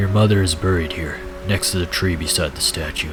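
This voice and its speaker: Over clear background noise, someone does a put-on character voice at a fairly quick pace. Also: man, very deep, low pitch for a man. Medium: read story.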